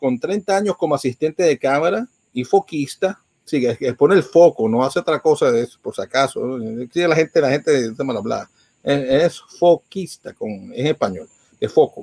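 Heard dry and close with no echo, the voice has a dark, mellow tone, lively intonation and a moderate pace. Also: man. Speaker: podcast host and radio host. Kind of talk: news reading; casual chat. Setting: live stream from home. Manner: animated.

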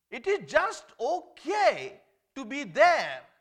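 A man with a non-native accent speaks in a bright, sharp tone, his pitch moving in very wide swings. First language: not English. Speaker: lay preacher. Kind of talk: sermon. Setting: church.

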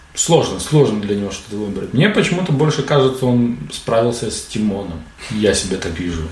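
Against noticeable background noise and audible room echo, a man talks fairly quickly at medium pitch, his pitch swinging very widely. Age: adult. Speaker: podcast host. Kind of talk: casual chat. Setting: studio.

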